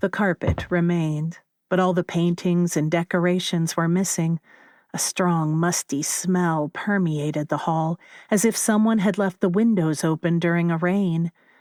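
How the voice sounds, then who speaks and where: A woman with a plain, everyday voice and a fairly low pitch talks at a moderate pace with fairly even intonation and very even loudness, captured in a very clean recording with a silent background and a dry, close sound with no echo. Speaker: narrator. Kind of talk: horror story narration.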